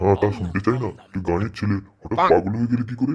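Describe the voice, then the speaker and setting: Putting on a cartoonish character voice, a man talks at a very fast pace in a fairly low pitch with ordinary pitch variation. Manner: colloquial rural Bengali, exclamatory.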